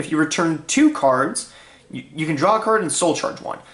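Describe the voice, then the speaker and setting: Clearly audible background noise accompanies delivery at a middling speed. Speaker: card game deck profiler. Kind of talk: casual tutorial.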